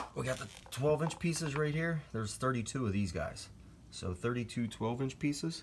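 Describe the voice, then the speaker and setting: This man's voice sits at a medium pitch and sounds somewhat breathy. His intonation is lively. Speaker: DIY hobbyist video maker. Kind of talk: tutorial. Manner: fast.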